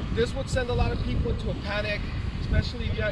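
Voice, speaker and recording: A man speaks over loud background noise. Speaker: overlanding vlogger. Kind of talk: tutorial. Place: beach.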